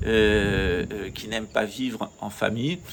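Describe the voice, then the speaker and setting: A man speaks in a normal speaking voice with ordinary pitch variation. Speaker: channel host, naturopathy speaker. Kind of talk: monologue talk.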